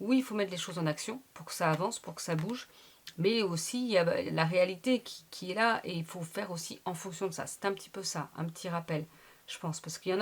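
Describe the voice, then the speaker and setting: Talking at a very fast pace, a woman of medium pitch sounds animated, with ordinary pitch variation and vocal fry. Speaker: tarot reader. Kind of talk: tarot reading monologue.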